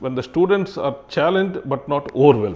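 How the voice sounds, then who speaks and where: This man speaks with a Kannada accent at a moderate pace. His intonation is lively. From Karnataka, India. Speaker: retired civil servant. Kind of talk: interview. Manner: halting, many fillers and restarts.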